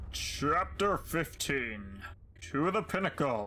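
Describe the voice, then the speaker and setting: Very slowly, the man drags out his words in a put-on character voice. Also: fairly high pitch for a man. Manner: announcer voice.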